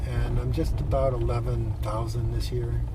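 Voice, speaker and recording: Talking at a fairly quick pace in a monotone, flat way, a man is heard with audible room echo and noticeable background noise. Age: 60s. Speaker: long-distance gravel cyclist. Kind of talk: casual chat. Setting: on the road recording.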